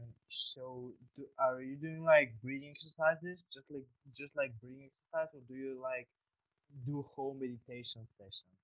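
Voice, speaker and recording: An unremarkable speaking voice from a man, at a moderate pace. His intonation stays fairly even while his loudness swings widely. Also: medium pitch for a man. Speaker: podcast host. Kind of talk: casual interview conversation. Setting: online call. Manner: friendly, informal.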